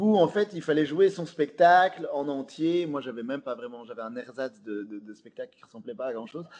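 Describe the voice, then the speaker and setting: The voice moves at a moderate pace with lively intonation. Its loudness swings widely. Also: man. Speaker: comedian. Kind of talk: casual interview. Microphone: slight echo from speaker problem.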